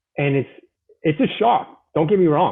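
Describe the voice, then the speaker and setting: A man with a Boston accent, lively intonation and a moderate pace. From Boston, US. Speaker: Marine veteran with cancer. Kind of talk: interview testimony. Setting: live online show.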